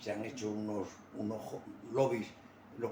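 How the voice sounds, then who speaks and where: A man's fairly even intonation, with audible room echo. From Spain. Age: 80s+. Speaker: retired army officer. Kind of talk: interview. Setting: at home.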